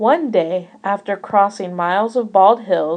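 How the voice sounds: What comes through here is a natural reading voice.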